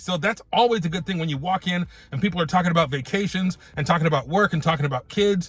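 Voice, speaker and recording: Animated and very fast, a man speaks with a high pitch, a bright, sharp tone and lively intonation. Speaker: vlogger. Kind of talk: casual vlog monologue.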